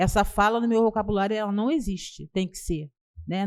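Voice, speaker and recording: A woman's dark, mellow tone at a moderate pace. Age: 60s. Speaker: housing movement leader. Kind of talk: panel discussion.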